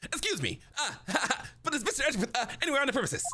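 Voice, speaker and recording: Shrill and high-pitched, the put-on character voice races along at a very fast pace. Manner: military-style deference.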